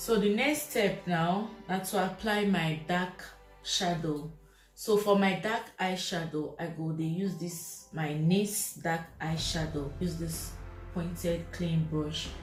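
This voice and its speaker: With music in the background, a woman of fairly low pitch speaks at a very slow pace with ordinary pitch variation. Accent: Nigerian. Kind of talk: casual makeup tutorial talk to camera.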